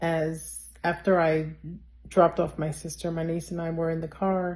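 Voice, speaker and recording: In a New York accent, the speaker goes at a very slow pace with a dark, mellow tone and monotone, flat intonation. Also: woman. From New York City. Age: 60s. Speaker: eyewitness. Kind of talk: testimony. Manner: conversational with frequent fillers.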